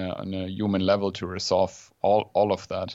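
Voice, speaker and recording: At a fairly slow pace, a man with a Swabian accent speaks in monotone, flat intonation. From southern Germany, near Stuttgart. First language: German. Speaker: journalist and podcaster. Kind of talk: casual interview chat. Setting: home office, remote call.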